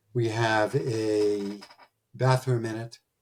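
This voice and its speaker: With a Philadelphia accent, a man of medium pitch talks in a somewhat breathy voice with fairly even intonation. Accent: nasal Philadelphia-area. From Delaware County, Pennsylvania. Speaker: podcast host, recruiting firm founder. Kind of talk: storytelling monologue.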